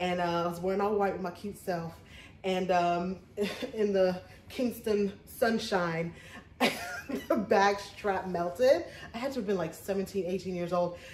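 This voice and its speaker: Audible room echo and light background noise accompany a woman speaking at a moderate pace with fairly even intonation. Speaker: thrift haul vlogger. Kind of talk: casual vlog chat. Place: home room. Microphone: phone near.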